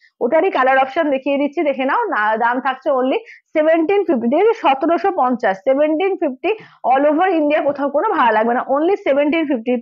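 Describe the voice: A woman talks at a fast pace in a high pitch. Her intonation is lively.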